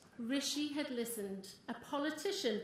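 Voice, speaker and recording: A woman speaks with a North East England accent and ordinary pitch variation. Noticeable background noise and audible room echo fill the recording. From North East England, Consett. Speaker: small business owner and party supporter. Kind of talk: campaign speech. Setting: stage with audience. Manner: animated.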